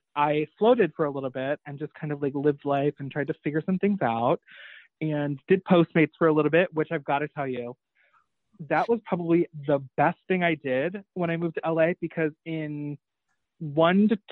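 An ordinary speaking voice from a man with an American accent, fairly high in pitch, at a moderate pace with ordinary pitch variation. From upstate New York. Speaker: reseller and entrepreneur. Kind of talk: casual chat.

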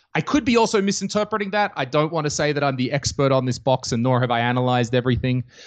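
Spoken with an Australian accent at a very fast pace, the delivery has lively intonation and hardly any pauses. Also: man, fairly high pitch for a man. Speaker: comedian. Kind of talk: casual chat.

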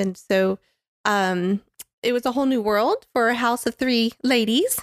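Speech in an American accent comes with fairly even intonation. The recording is very clean with a silent background and a dry, close sound with no echo. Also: woman. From Florida, Tampa. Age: 50s. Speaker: church member sharing her story. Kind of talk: testimony.

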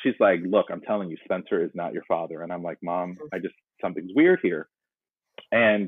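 This man speaks at a medium pace. His accent is American. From North Carolina. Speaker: podcast guest sharing DNA surprise story. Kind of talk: casual interview, personal storytelling. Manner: reflective, somewhat pensive.

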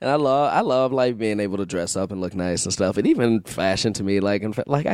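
Speaking at a very fast pace, a man is heard in a very clean recording with a silent background. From Chicago. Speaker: improviser and actor. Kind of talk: casual chat.

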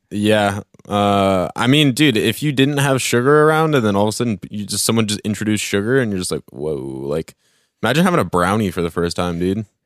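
A man's fairly low voice with very wide pitch swings at a fairly quick pace, dry and close with no echo, on a very clean recording with a silent background. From Oregon, US. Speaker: podcast co-host. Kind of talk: casual chat.

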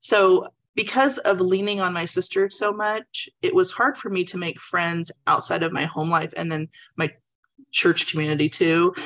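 Here is a woman with a normal speaking voice at a medium pitch. She talks at a moderate pace with ordinary pitch variation. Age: 40s. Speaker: book club member. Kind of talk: testimony. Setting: video call.

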